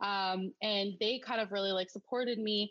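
A woman with a Canadian accent speaks in a plain, everyday voice at a medium pitch. Her intonation is fairly even, and the sound is dry and close with no echo. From Alberta, Canada. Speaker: small business owner. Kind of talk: interview.

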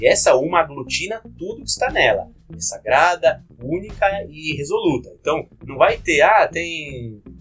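The speech moves at a fairly slow pace with hardly any pauses and big swings in loudness. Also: man. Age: 30s. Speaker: tabletop game designer. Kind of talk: casual chat.

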